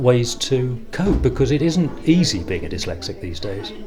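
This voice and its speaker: Music plays in the background as a man of medium pitch talks at a fairly slow pace, with audible echo from the room. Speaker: dyslexia advocate. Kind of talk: interview testimony.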